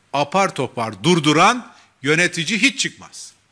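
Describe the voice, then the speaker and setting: Over a quiet background, a man talks in a bright, sharp tone. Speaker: party spokesman. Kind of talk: political press statement. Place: hall. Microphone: podium.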